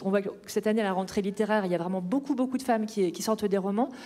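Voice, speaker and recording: Her voice is pitched fairly high. The speaker is a woman whose pitch varies in an ordinary way. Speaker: novelist. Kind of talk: author talk at a panel Q&A. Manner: hesitant, many filler sounds.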